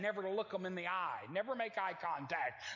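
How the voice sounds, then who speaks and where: Amid audible room echo, an animated man with an American accent and a high pitch speaks at a fairly quick pace. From Oklahoma. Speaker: traveling evangelist preacher. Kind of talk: sermon. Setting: church with congregation.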